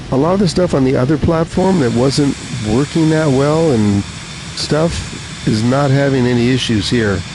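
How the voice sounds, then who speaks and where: A man with a fairly high pitch talks at a moderate pace in a relaxed tone, his intonation lively and his loudness very even, over noticeable background noise. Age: 70s. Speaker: gaming live streamer. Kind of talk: casual live stream chat. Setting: live stream, reading chat. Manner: relaxed, frequent filler 'uh'.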